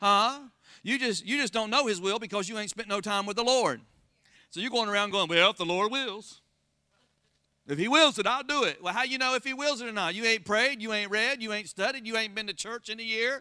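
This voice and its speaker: In an American accent, a man with a high pitch talks at a fairly quick pace in a raised, projected voice, his tone animated, bright and sharp, and his pitch variation ordinary. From Florida. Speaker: pastor. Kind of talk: sermon.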